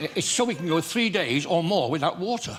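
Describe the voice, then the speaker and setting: A man's voice over noticeable background noise. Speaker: comedian. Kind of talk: talk show interview answer. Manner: jolly, joke-telling.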